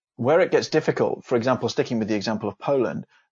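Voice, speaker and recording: Speaking with an East Midlands accent, a man uses a medium pitch and ordinary pitch variation. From England, Leicestershire. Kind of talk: explanatory interview.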